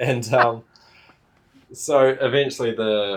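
This is a man talking with a New Zealand accent. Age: 20s. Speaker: dirt bike YouTuber. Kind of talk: casual chat.

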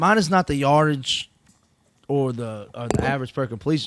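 With an animated tone, a man speaks at a moderate pace and a fairly high pitch, the sound dry and close with no echo. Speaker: college football co-host. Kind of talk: casual sports chat.

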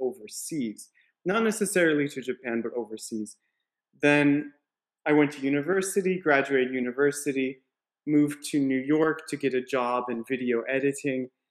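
In an ordinary speaking voice, a man with an American accent talks at a fairly high pitch with ordinary pitch variation. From Colorado, US. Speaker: CrossFit coach. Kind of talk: casual interview chat.

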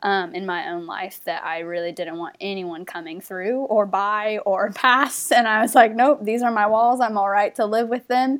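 In a very clean recording with a silent background, a woman with a normal speaking voice talks at a fairly high pitch, with ordinary pitch variation and hardly any pauses. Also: moderate pace. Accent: American. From US South, North Carolina. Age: 20s. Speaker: former missionary. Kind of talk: casual interview chat.

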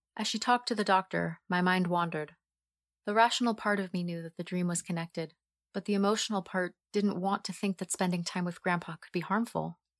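A woman with a normal speaking voice talks fairly quickly and with fairly even intonation, the sound dry and close with no echo in a very clean recording with a silent background. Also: medium pitch for a woman. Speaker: voice actor narrating story.

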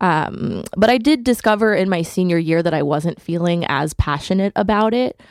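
This woman has a normal speaking voice with an American accent. Her pitch is medium, her intonation lively and her pace moderate. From Connecticut (Hamden, near New Haven). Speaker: theater education manager. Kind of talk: radio interview.

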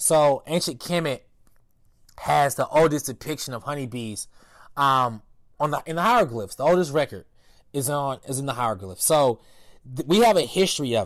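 Lively in intonation and with an American accent, a man talks at a moderate pace broken by long, frequent pauses. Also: very clean recording, silent background. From US South, Durham, North Carolina. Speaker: agriculture educator and farmer. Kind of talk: interview. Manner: halting with fillers.

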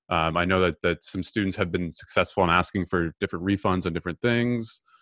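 Recorded dry and close with no echo, a man speaks in a bright, sharp tone. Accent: Canadian. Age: 20s. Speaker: student podcast host. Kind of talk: interview. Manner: halting.

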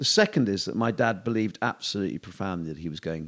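Very deep and low in pitch, a man talks at a fairly quick pace with ordinary pitch variation. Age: 50s. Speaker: entrepreneur. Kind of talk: casual chat. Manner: halting.

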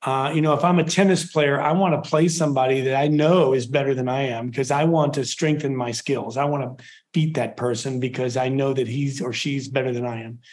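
An unremarkable speaking voice from a man, fairly high in pitch, fairly quick with hardly any pauses and fairly even intonation. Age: 60s. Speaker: percussion professor. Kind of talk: interview. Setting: video call.

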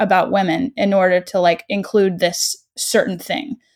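A woman speaks at a moderate pace with a normal speaking voice, medium in pitch. The sound is dry and close, with no echo. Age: 20s. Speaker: aspiring actor. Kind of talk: casual chat. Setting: online call.

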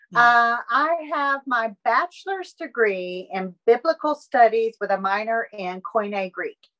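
A woman with a Southern US accent speaks at a fairly slow pace in a fairly high pitch with lively intonation. Her tone is bright and sharp, and the sound is dry and close with no echo. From Alabama. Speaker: artist. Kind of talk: interview.

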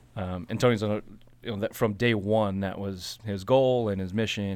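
A man speaks at a fairly quick pace with a fairly low pitch and fairly even intonation. The recording is very clean, with a silent background. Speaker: assistant brewer. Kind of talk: casual chat. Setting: studio. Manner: clear, mic-savvy delivery.

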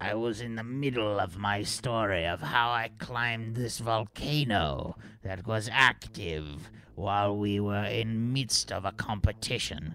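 Clear background noise sits behind a man doing a put-on character voice, fairly low-pitched and fairly slow. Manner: haughty, boastful.

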